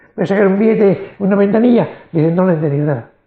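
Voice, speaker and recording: This man's voice is high, and its pitch varies in an ordinary way. He talks very fast. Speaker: brain injury survivor. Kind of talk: interview.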